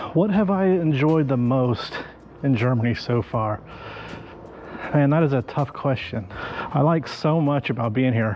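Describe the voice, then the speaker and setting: Speaking with an American accent, a man with a fairly high pitch talks at a fairly slow pace with lively intonation, very even loudness and long, frequent pauses, over noticeable background noise. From United States. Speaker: YouTuber, interviewee. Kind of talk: interview. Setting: outdoors. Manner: hesitant, many fillers.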